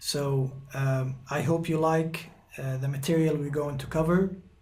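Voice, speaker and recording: Through audible room echo, a man with an Egyptian accent speaks in a somewhat breathy, fairly high voice with fairly even intonation. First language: Arabic. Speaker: guitar teacher. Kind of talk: tutorial. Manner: halting, many fillers.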